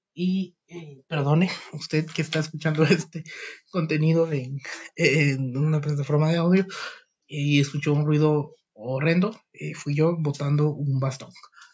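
Somewhat breathy, a man speaks at a fairly slow pace with a fairly high pitch and fairly even intonation. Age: 20s. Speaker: podcaster. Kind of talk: personal monologue. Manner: halting, many fillers.

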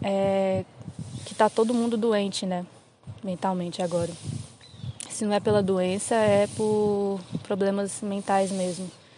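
A woman's medium-pitched, monotone voice with flat intonation, a fairly slow pace and long, frequent pauses, over noticeable background noise. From Brazil, Federal District (Recanto das Emas). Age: 20s. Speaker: visual artist. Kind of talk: casual chat.

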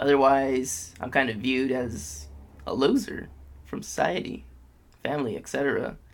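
A man's voice with long, frequent pauses and audible room echo. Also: moderate pace. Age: 20s. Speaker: podcast host. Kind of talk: casual chat.

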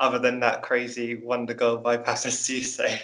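With a British accent, a man is talking. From UK. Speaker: guest, Chelsea fan. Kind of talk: casual podcast chat.

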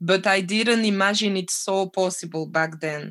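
A woman is speaking. She has a French accent. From French-speaking Belgium (Namur area). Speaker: chef and cafe owner. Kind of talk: casual interview.

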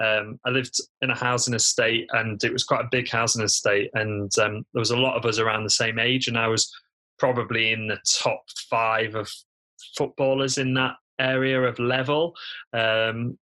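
A man's medium-pitched voice with a British accent, bright and sharp in tone, monotone and flat in intonation, at a moderate pace and very even loudness. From United Kingdom. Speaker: physiotherapist and online entrepreneur. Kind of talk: podcast interview.

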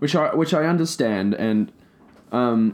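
Here a man speaks with an Australian accent. His intonation is lively. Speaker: podcast co-host. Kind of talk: casual chat.

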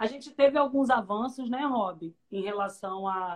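A woman speaks at a fairly high pitch. Hers is an unremarkable speaking voice. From Rio de Janeiro, Brazil. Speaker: public defender, interviewer. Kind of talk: interview conversation. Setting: video call.

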